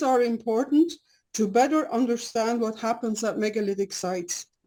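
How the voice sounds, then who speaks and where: A woman with a non-native accent speaks at a high pitch and a moderate pace. Her tone is dark and mellow, with lively intonation. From Belgium. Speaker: scientist and dowsing lecturer. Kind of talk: lecture. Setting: video call. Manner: partly reading from prepared cards; hesitant with fillers.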